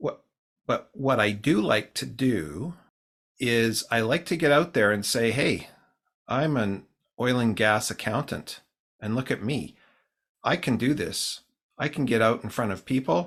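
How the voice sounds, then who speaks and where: A man with a Canadian accent, medium pitch, fairly slow pace, lively intonation and long, frequent pauses, in a very clean recording with a silent background. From Canadian Prairies (Saskatoon, Winnipeg). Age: 60s. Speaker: singer-songwriter. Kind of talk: casual interview.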